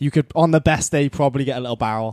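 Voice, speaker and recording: A man with a South Wales accent speaks at a very fast pace in a dark, mellow tone, his fairly high pitch following fairly even intonation, with a dry, close sound and no echo. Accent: Welsh (South Wales). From South Wales, Cardiff (Penarth). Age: 20s. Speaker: pro surfer. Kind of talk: casual chat.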